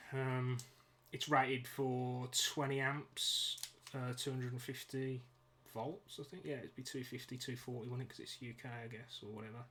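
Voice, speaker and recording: Someone with a British accent talks at a moderate pace. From UK. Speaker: DIY ebike builder streaming a build. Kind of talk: live stream tutorial. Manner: casual, hesitant with many fillers.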